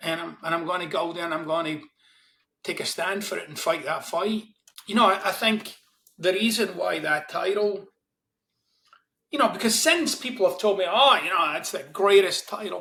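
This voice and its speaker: Raised and projected, a man's voice has a bright, sharp tone and high pitch with ordinary pitch variation, moving at a moderate pace with long, frequent pauses. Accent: Glaswegian. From Scotland, Glasgow East End. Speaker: self-help author. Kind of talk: interview conversation.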